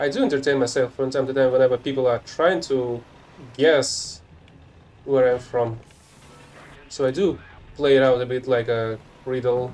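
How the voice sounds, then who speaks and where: With music in the background, a man speaks at a moderate pace in a Russian accent. His intonation is fairly even, broken by long, frequent pauses. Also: medium pitch for a man. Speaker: gaming streamer. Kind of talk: live gameplay commentary. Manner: casual.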